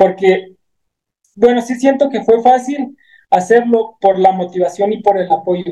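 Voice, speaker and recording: Here a man speaks at a fairly slow pace, with a high pitch and ordinary pitch variation. His tone is dark and mellow. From Mexico, Chihuahua sierra (Guachochi). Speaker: ultra trail runner. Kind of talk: interview.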